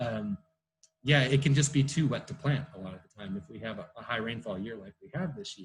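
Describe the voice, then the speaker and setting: Somewhat breathy and fairly quick, a man talks at medium pitch with lively intonation and big swings in loudness. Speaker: field biologist. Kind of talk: online talk Q&A. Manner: fast.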